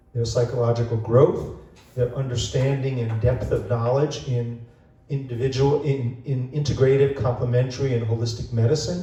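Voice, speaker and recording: Audible room echo surrounds a man speaking at a moderate pace. His pitch is medium and his intonation fairly even. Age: 70s. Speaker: bookstore owner and event host. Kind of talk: event introduction. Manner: halting, many fillers.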